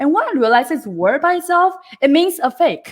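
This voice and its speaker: With a non-native accent, the speaker talks at a fairly quick pace in an animated tone with very wide pitch swings. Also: woman. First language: not English. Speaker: book club co-host. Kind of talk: casual book discussion.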